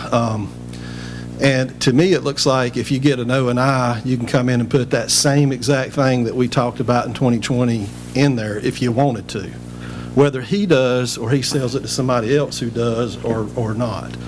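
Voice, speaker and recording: A man with a North Carolina accent speaks at medium pitch with fairly even intonation, with audible room echo around him. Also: moderate pace. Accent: Southern US (North Carolina). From North Carolina, Rocky Mount. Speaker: public commenter, resident. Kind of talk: public comment at council meeting. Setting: town council meeting.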